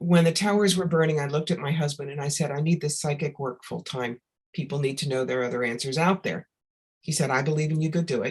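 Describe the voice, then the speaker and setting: A somewhat breathy voice talks at a fairly quick pace over a quiet background. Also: woman. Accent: American. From New York. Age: 60s. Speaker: psychic medium. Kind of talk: interview.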